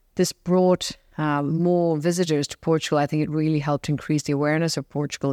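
A woman speaks at a very fast pace with a very deep, low pitch in a monotone, flat intonation. The recording is very clean with a silent background. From Singapore, of Indian heritage. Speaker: hotel and school founder. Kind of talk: casual interview chat.

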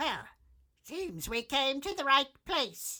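High-pitched put-on character voice at a fairly slow pace.

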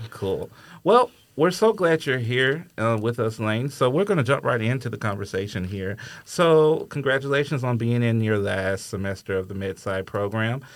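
In a very clean recording with a silent background, a man with an American accent and an unremarkable speaking voice talks at a moderate pace, using medium pitch and lively intonation. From US South, Alabama. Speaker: podcast host, university admissions staff. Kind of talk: casual interview.

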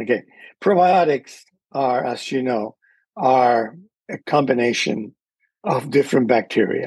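The voice has a Spanish accent and ordinary pitch variation. The pace is fairly slow. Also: man. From Cuba. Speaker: microbiologist. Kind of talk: interview.

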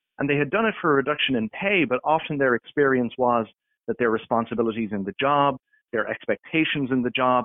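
The speaker talks at a very fast pace in an Irish accent. Pitch moves with ordinary variation. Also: man. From Ireland. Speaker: workplace policy expert. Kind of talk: interview.

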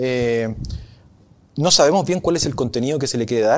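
The man talks with lively intonation. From northern Chile, Arica. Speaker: law professor. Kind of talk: interview. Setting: venue hall. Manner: hesitant, many fillers.

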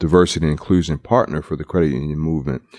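Recorded with a dry, close sound and no echo, the voice has an American accent and ordinary pitch variation. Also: man. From US, Baltimore, Maryland. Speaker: credit union finance executive. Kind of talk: interview. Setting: conference.

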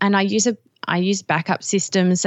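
In an Australian accent, a woman talks at a moderate pace. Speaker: digital scrapbooking teacher. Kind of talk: casual chat.

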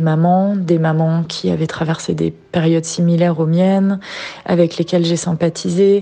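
At a fairly slow pace, a woman with a fairly low pitch speaks in a monotone, flat intonation. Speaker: regular visitor. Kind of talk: testimony.

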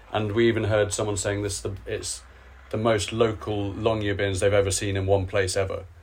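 A man talks at a moderate pace in a fairly low, somewhat breathy voice with monotone, flat intonation. The room echo is audible. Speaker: podcast host. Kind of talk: interview. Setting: hotel room. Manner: relaxed.

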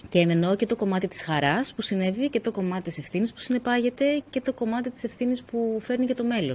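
Using a plain, everyday voice, a woman talks at a fairly quick pace and fairly high pitch with lively intonation. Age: 40s. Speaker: author and co-founder of a women's nonprofit. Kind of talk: interview conversation.

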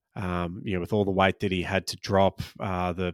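In a very clean recording with a silent background and a dry, close sound with no echo, a man with a very deep, low pitch speaks in an Australian accent. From Australia, Maltese-Australian family. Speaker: stand-up comedian and podcast host. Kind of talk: casual solo podcast chat. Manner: relaxed, frequent ums and laughs.

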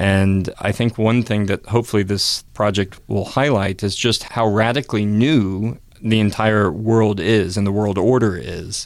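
On a very clean recording with a silent background, a man with an American accent and a fairly low pitch talks at a fairly slow pace with fairly even intonation and hardly any pauses. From US South, North Carolina. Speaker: journalist and documentary filmmaker. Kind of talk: interview. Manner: halting, with frequent fillers.

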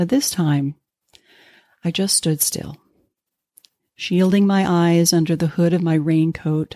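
A woman with an American accent, a fairly low pitch, and a dark, mellow tone, flat and monotone in a dry, close sound with no echo. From Pennsylvania mountains. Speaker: podcast host. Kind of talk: storytelling monologue.

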